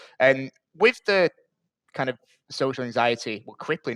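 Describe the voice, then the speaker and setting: A man with a northern English accent speaks at a medium pitch with ordinary pitch variation. The background is quiet, and the sound is dry and close with no echo. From northern England, Bury. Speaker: podcast host. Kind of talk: podcast interview.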